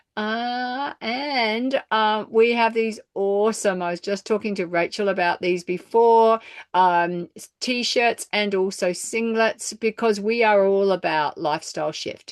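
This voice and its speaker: A fairly high-pitched woman at a fairly slow pace with hardly any pauses and ordinary pitch variation, in a dry, close sound with no echo and a quiet background. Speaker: network marketing distributor. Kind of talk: sales pitch. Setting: group call.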